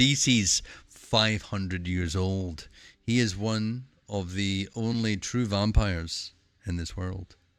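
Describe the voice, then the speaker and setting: Music plays behind this man. His voice is very deep and low. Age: 40s. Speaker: streamer. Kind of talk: casual chat. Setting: live stream.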